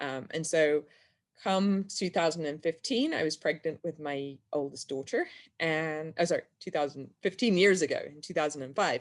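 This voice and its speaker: A woman with an English accent speaks at a fairly low pitch and moderate pace, with ordinary pitch variation, in a very clean recording with a silent background. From England. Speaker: health freedom activist. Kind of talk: interview.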